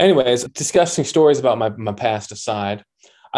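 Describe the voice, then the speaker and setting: Moderately paced speech from a man, the recording very clean and the background silent. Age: 30s. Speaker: podcaster. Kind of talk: casual chat. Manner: energetic.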